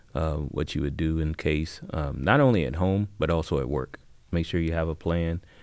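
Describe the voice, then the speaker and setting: With a Midwestern American accent, a man speaks at a moderate pace in a very deep, low pitch with ordinary pitch variation. The recording is very clean, the background silent. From Xenia, Ohio. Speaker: retired highway patrol officer, tornado survivor. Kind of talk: personal testimony.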